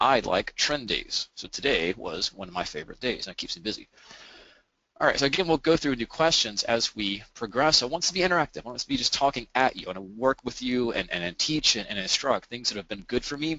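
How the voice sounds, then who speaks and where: At a fairly quick pace, a man talks at medium pitch with very wide pitch swings. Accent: American. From Alabama. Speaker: trader and webinar presenter. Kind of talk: webinar presentation.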